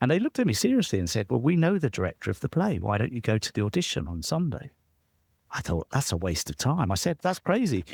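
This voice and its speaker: On a very clean recording with a silent background, a man with a British accent talks at a very fast pace with vocal fry and very wide pitch swings, in a dry, close sound with no echo. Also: medium pitch for a man. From southern England, near London. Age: 60s. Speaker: entrepreneur and author. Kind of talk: interview storytelling. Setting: podcast interview.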